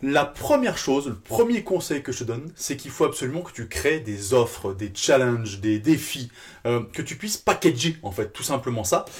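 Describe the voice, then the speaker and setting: A man speaks in an animated, somewhat breathy tone, with lively intonation and big swings in loudness. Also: medium pitch for a man. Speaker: fitness business coach. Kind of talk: tutorial. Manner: fast.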